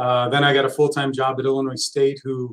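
The voice belongs to a man with an American accent. He moves at a fairly quick pace. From Texas. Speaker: college soccer head coach. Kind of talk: casual interview. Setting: live podcast recording.

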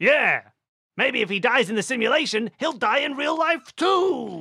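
Using a cartoonish character voice, the speaker talks at a fairly high pitch and a moderate pace. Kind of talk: cartoon villain acting. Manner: gloating, menacing.

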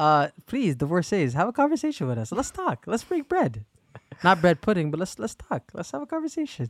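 Animated and high-pitched, a man talks at a fairly quick pace with very wide pitch swings. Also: dry, close sound with no echo. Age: 20s. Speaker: podcast co-host. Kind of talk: casual chat. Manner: animated, laughing often.

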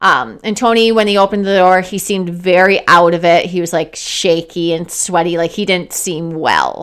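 A woman with an unremarkable speaking voice talks at a moderate pace and medium pitch, with hardly any pauses. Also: fairly even intonation. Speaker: podcast co-host, case narrator. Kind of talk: casual chat, storytelling true crime. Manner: playful, joking.

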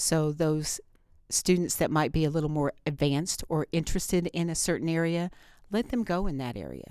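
On a very clean recording with a silent background, a woman with an American accent speaks in an unremarkable speaking voice, fairly low-pitched with ordinary pitch variation, at a moderate pace. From Indiana, US Midwest. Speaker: teacher. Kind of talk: interview.

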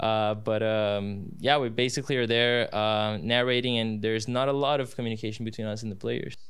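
A man's medium-pitched voice with a Portuguese accent, fairly quick pace and fairly even intonation. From Brazil. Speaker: student sports announcer. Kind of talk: casual interview. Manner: halting.

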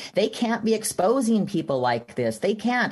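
With an American accent and vocal fry, the speaker moves at a moderate pace through very wide pitch swings. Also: woman. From Texas. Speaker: activist mother. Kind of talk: interview.

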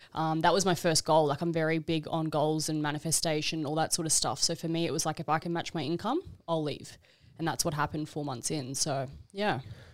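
With an Australian accent, a woman speaks at a very deep, low pitch and fairly even intonation in a very clean recording with a silent background. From Queensland, Australia (Brisbane). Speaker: e-commerce entrepreneur. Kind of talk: podcast interview.

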